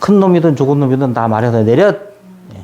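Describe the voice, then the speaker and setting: A man with a Jeju accent speaks at a moderate pace and fairly high pitch, his intonation lively. Noticeable background noise runs underneath. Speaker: Buddhist youth association education officer giving a lecture. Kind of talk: lecture to new members.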